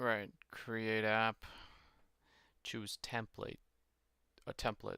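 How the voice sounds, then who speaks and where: A man's bright, sharp voice at a very slow pace, monotone and flat in intonation. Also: medium pitch for a man. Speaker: streamer. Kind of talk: live stream, reading docs aloud while learning. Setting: live stream with facecam. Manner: halting, self-interrupting.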